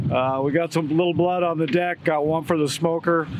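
A man at a moderate pace with noticeable background noise. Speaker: guest. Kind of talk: casual outdoor chat. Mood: cheerful, laughing. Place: boat.

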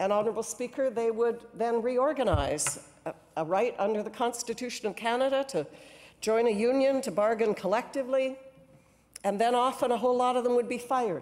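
Speaking at a fairly quick pace, a woman uses a high pitch with ordinary pitch variation. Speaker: cabinet minister and former union leader. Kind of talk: parliamentary debate speech. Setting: legislative chamber. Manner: formal. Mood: earnest, impassioned advocacy. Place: hall. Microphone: podium.

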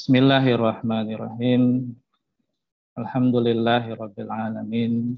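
Very slowly, a man speaks in a monotone, flat intonation. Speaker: prayer leader. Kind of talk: prayer. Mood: solemn, reverent. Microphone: video call.

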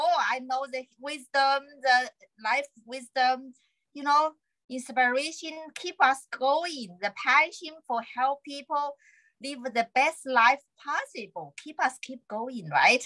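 A woman with a Chinese accent speaks very slowly in a raised, projected, high voice, with ordinary pitch variation. Her loudness swings widely over a quiet background. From China. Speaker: acupuncturist. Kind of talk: interview conversation. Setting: video call. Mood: warm, cheerful. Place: home room. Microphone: video call.

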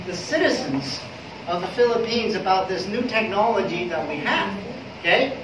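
A man speaks at a high pitch and a moderate pace, with ordinary pitch variation. Audible room echo and noticeable background noise come through. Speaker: presenter. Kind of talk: business presentation. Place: meeting room. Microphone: camera far.

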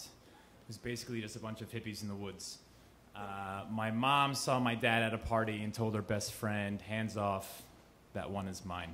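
A man at a moderate pace with light background noise. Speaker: storyteller. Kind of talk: live storytelling performance. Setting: live audience in a cafe. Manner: casual, conversational with hesitations. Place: cafe. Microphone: handheld.

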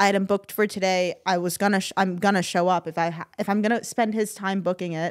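A woman's flat, monotone delivery at a fairly quick pace, hardly any pauses, quiet background. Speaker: podcast host; podcast co-host. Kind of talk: casual chat. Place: studio. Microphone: studio mic.

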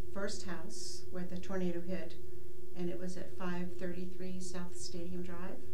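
A woman speaking fairly slowly with ordinary pitch variation, noticeable background noise behind her. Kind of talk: interview answer. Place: studio.

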